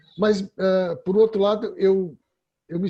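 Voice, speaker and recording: A man with a dark, mellow tone and a high pitch speaks at a very slow pace. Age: 60s. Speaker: workshop participant. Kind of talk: testimony. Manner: halting.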